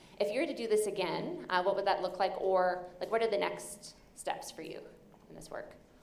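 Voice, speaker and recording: A woman with a medium-pitched voice talks at a moderate pace with ordinary pitch variation. Her loudness swings widely, and there is audible room echo. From Canada. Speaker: session moderator, researcher. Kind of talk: conference Q&A moderation.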